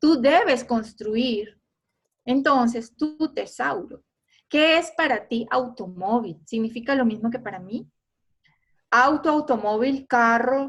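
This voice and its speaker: Very slowly, a woman talks in a high voice whose pitch varies in an ordinary way. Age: 50s. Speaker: photographer giving an online talk. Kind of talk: online lecture.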